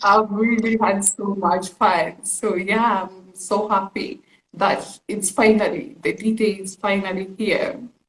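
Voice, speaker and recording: Somewhat breathy and very slow, a woman speaks at a medium pitch with fairly even intonation and big swings in loudness. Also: hardly any pauses. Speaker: beauty pageant finalist. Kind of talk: live stream interview.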